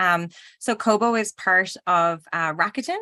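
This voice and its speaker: Against a quiet background, a woman talks at medium pitch with a bright, sharp tone. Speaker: publishing company representative. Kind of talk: interview.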